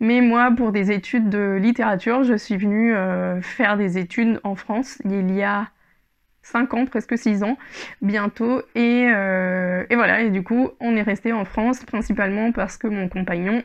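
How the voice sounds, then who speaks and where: A woman speaks at a fairly high pitch and a fairly slow pace. Her intonation is fairly even against a quiet background. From Spain. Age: 20s. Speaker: yarn shop owner and knitting podcaster. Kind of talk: casual solo podcast monologue. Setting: home recording with microphone. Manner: hesitant, many fillers. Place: home room. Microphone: lapel.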